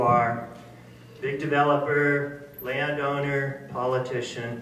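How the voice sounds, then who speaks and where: A man at medium pitch talks amid audible room echo and noticeable background noise. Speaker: marine science educator. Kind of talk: public lecture. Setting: stage with audience, on a microphone. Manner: loud; animated.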